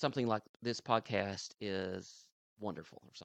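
An animated voice with a Southern US accent, dry and close-miked with no echo. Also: man. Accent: Southern twang. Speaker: podcast host. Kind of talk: casual banter. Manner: animated, joking.

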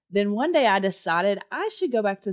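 A woman with a Texan accent talks at a fairly quick pace, with a dry, close sound and no echo. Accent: Texan, noticeable. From Texas. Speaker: school district testing coordinator. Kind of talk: casual interview chat.

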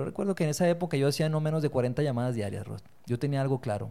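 On a very clean recording with a silent background, a man races along at a very fast pace. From Colombia (Bogotá), born in Torreón, Mexico. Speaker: leadership foundation executive. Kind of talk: interview conversation.

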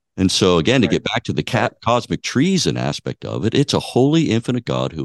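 Recorded with a dry, close sound with no echo, a man with a fairly low pitch and vocal fry talks at a fairly quick pace with very wide pitch swings. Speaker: co-host. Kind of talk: theological discussion.

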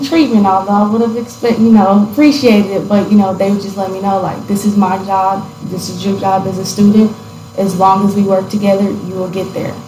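A woman speaks at a fairly quick pace in an American accent. Her pitch is medium, and there is noticeable background noise. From US South, Tennessee. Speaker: graduating college student. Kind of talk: interview. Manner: hesitant, many fillers.

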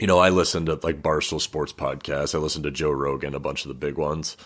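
A man's very deep, low voice with vocal fry. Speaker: podcaster. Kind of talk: casual interview chat.

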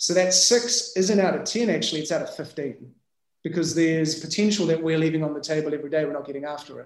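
This man talks at a very fast pace in a New Zealand accent. His pitch is fairly high, with ordinary variation. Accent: New Zealand (Kiwi). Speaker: business founder and CEO. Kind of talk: casual interview chat.

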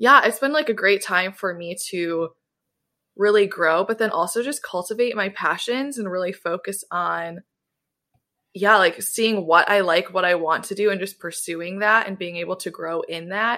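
Speaking in an American accent, a woman uses an ordinary speaking voice of medium pitch with ordinary pitch variation at a moderate pace, on a very clean recording with a silent background. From US Midwest, Southwest Michigan. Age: 20s. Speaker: podcast host, guest on another podcast. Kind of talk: casual chat.

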